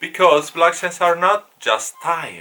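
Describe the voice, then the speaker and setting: A man speaks with an Italian accent. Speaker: online course teacher. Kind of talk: lecture. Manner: halting.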